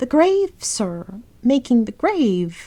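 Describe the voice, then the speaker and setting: A female-sounding, put-on character voice rises to a high pitch with very wide pitch swings. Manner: stammering, frightened.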